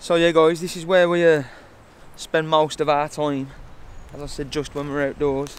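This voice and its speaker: A man with a West Midlands accent, fairly high pitch, monotone, flat intonation, moderate pace, long, frequent pauses, and big swings in loudness. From West Midlands, England. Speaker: bushcraft vlogger. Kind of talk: casual walkthrough vlog. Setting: outdoors in a forest. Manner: relaxed, casual.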